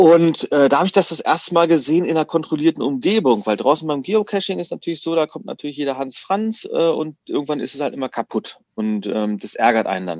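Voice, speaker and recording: Barely pausing, a man with a fairly high pitch makes very wide pitch swings in a dry, close sound with no echo. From Berlin. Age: 40s. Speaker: escape room business owner. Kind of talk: casual interview.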